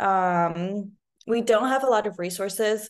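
A woman in an Arabic accent at a fairly slow pace, against a quiet background. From Lebanon. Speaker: speech-language pathologist and researcher. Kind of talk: casual interview.

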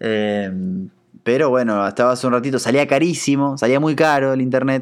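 In a very clean recording with a silent background, a man speaks in a plain, everyday voice at a moderate pace, with medium pitch and ordinary pitch variation. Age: 30s. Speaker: podcast host. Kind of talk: casual monologue.

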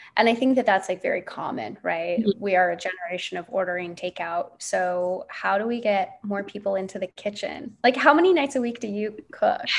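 A woman talks in an unremarkable speaking voice at medium pitch with lively intonation. Her pace is fairly quick, with hardly any pauses. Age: 30s. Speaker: podcast host. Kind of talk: casual interview chat.

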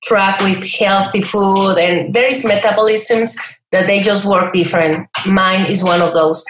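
A woman speaks at a medium pitch and a moderate pace, with ordinary pitch variation. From Mexico, Chihuahua. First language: Spanish. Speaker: online cooking entrepreneur. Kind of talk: interview.

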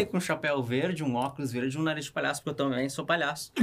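A man with a fairly high pitch talks at a very fast pace with fairly even intonation. Noticeable background noise runs underneath. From Canoas, Rio Grande do Sul, Brazil. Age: 30s. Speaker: rock climber. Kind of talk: casual chat. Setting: studio.

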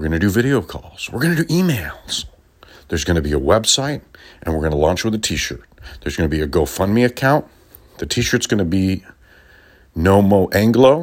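A man speaks at a fairly low pitch with very wide pitch swings. He leaves long, frequent pauses. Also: fairly quick pace. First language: Spanish. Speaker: podcast host, former radio DJ. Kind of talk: political commentary monologue. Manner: animated, laughing often.

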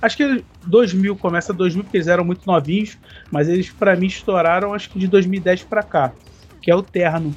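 Pitched high, a man talks at a moderate pace, his pitch varying in an ordinary way. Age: 40s. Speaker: podcast co-host. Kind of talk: casual chat.

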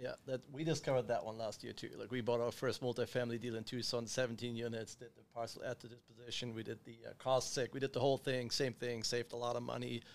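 A man speaks at a very fast pace with hardly any pauses. His intonation stays monotone and flat. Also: medium pitch for a man. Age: 30s. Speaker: podcast host, real estate investor. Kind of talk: casual interview.

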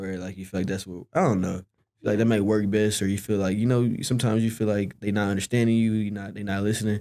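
The tone is dark and mellow, and the pace is very fast. The intonation stays monotone and flat. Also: man, fairly low pitch for a man. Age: 20s. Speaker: podcast guest, young man raised by single mother. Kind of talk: casual interview.

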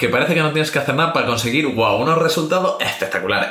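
Against noticeable background noise and audible room echo, a man talks in a fairly high voice. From Spain. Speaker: podcast co-host. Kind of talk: casual chat.

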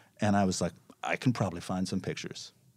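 Fairly quick speech with an American accent on a very clean recording against a silent background. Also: man. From New York City (Manhattan). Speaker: street photographer. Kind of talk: casual chat.

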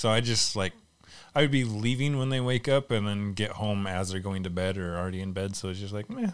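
In a normal speaking voice, a man talks at a fairly quick pace with a fairly low pitch. His pitch variation is ordinary, and the recording is very clean, with a silent background. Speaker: movie podcast host. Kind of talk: casual chat.

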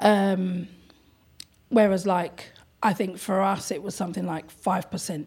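A woman speaks with a London accent at a fairly slow pace. Her medium-pitched voice is somewhat breathy, with fairly even intonation. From London, England. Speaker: art gallery owner. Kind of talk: casual interview chat. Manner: talkative, chatty.

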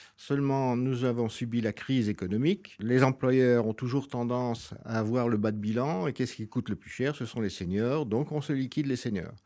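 Hardly pausing, a man speaks at a moderate pace and medium pitch in a dark, mellow tone, with ordinary pitch variation. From France. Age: 70s. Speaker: senior employment advocate. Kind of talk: interview. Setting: hotel recording.

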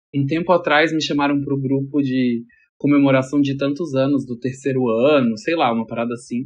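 A man talks with an unremarkable speaking voice. His pitch is fairly high and his intonation fairly even. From Brasília. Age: 30s. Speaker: stylist. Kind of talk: casual chat.

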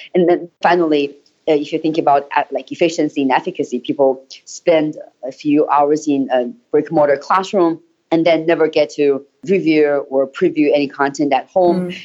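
In a Chinese accent, a woman speaks at a moderate pace, her very deep, low voice dark and mellow in tone, with fairly even intonation. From Hebei and Harbin, China. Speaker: startup founder and English teacher.

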